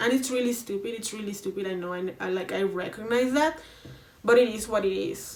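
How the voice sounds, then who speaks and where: Fairly quick speech from a woman, noticeable background noise behind her. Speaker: YouTuber. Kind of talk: casual vlog monologue.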